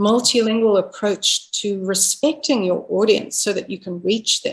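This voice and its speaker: A woman talks at a fairly slow pace. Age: 60s. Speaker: expressive arts therapist and author. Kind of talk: casual chat.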